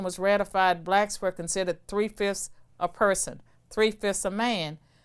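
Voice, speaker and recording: In a very clean recording with a silent background, a woman with a Virginia accent talks at medium pitch and a moderate pace. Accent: Southern US (Virginia). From US South, rural Virginia. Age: 60s. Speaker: former professor of political science and law. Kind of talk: interview.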